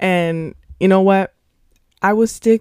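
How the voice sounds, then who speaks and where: Recorded very cleanly against a silent background, a woman's voice has a dark, mellow tone and a dry, close sound with no echo. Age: 20s. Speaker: podcast host, social work student. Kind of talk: casual solo monologue.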